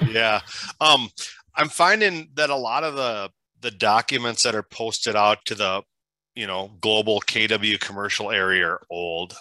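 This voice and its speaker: In a Minnesotan accent, a man speaks with a bright, sharp tone at a fairly low pitch and ordinary pitch variation, in a dry, close sound with no echo on a very clean recording with a silent background. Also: moderate pace. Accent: Minnesota. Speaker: commercial real estate agent. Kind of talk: question on a group call.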